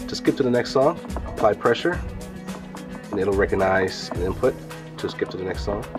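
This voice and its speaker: Clear background music behind a man speaking at a moderate pace. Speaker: booth demonstrator. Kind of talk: product demo explanation. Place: hall. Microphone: camera far.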